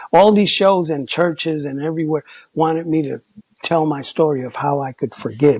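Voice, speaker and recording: A man speaks at a moderate pace with ordinary pitch variation. The sound is dry and close, with no echo. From New York, the Bronx. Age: 60s. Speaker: former graffiti artist and hip hop figure. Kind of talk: testimony. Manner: animated.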